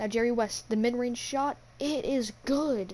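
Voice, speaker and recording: A quiet woman's voice with a dark, mellow tone, fairly high pitch and ordinary pitch variation. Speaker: gaming youtuber. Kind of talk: play-by-play commentary over a video game. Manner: quiet, hushed.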